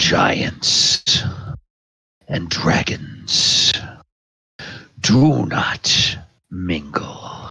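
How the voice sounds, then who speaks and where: Very deep, low pitch in a put-on character voice from a man. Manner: haughty, contemptuous.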